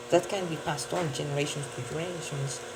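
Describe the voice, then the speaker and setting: Noticeable background noise and audible room echo surround this recording. A man with a non-native accent speaks at a fairly high pitch. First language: not English. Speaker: vlogger. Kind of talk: casual monologue. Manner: halting, with many self-corrections.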